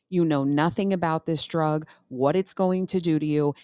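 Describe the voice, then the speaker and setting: A woman speaks at a moderate pace in a very deep, low pitch, with ordinary pitch variation. The recording is very clean with a silent background and a dry, close sound with no echo. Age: 40s. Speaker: healthcare worker. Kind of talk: casual chat. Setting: studio.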